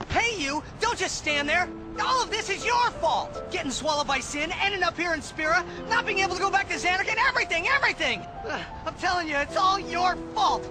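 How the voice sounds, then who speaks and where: Using a whiny, put-on character voice, a man talks at a fairly quick pace over loud background music. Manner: accusing, complaining.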